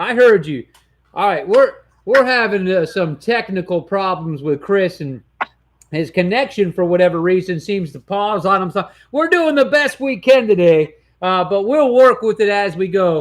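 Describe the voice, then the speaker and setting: A loud, high-pitched male voice with an American accent and lively intonation. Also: moderate pace. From Detroit area, Michigan. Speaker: sports talk show host. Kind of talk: sports talk show. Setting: studio. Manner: animated.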